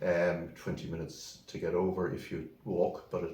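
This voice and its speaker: A man with a western Irish accent, a very deep, low pitch and a dark, mellow tone, somewhat breathy, with audible room echo. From Ireland, County Mayo (Swinford). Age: 70s. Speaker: solicitor. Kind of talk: interview. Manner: halting.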